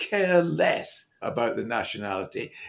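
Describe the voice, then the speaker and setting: With an English accent, a man talks at a fairly slow pace. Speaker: football podcast co-host. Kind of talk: casual chat. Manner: jokey.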